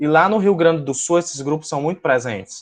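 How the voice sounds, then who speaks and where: A man speaks with lively intonation. His voice is fairly high in pitch. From Brazil, Northeast. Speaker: school teacher. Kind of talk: lecture. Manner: hesitant, many fillers.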